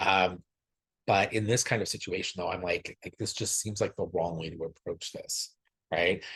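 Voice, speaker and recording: A soft-spoken man talks at a moderate pace. His pitch is very deep and low. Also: fairly even intonation. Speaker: podcast co-host. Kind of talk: casual chat. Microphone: far from the mic.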